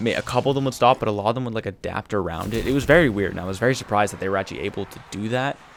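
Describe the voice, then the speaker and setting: Quiet and very fast, a man talks at a fairly low pitch with ordinary pitch variation. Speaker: gaming youtuber. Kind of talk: tutorial voiceover. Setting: at home late at night. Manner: casual.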